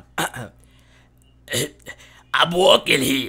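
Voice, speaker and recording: A man puts on a character voice in a New York accent. His voice is raspy. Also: medium pitch for a man. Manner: indignant, brash.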